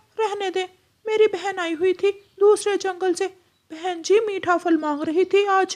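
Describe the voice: An extremely high, cartoonish character voice talks at a moderate pace.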